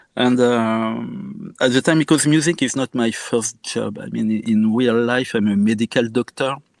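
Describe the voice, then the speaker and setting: With a French accent, a man speaks at a moderate pace in a medium pitch, with ordinary pitch variation and hardly any pauses. The sound is dry and close with no echo. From France, Normandy. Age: 50s. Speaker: musician and medical doctor. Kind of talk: interview. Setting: podcast interview.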